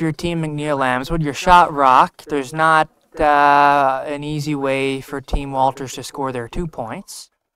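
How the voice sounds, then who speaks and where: A man speaks at a fairly slow pace in a fairly high pitch. His tone is bright and sharp yet relaxed. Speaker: curling skip, guest commentator. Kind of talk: live curling commentary. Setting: broadcast booth. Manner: relaxed, casual, thoughtful.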